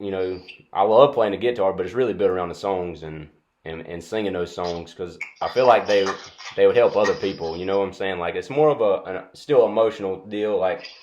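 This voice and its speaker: Speaking with a North Carolina accent, a man talks at a fairly quick pace in a fairly low pitch. His pitch varies in an ordinary way while his loudness swings widely. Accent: Southern US (North Carolina). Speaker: music student and interviewer. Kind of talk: interview. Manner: halting.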